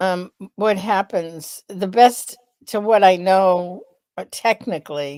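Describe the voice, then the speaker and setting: The tone is dark and mellow, with fairly even intonation. The pace is very slow. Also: woman. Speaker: podcast co-host, lipedema advocate. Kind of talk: casual chat. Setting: live stream.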